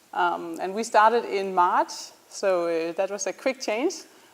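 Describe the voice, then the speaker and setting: A woman speaks in a Danish accent. She uses lively intonation. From Denmark. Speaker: startup founder. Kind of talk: student presentation. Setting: presentation to an audience. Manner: hesitant, many ums.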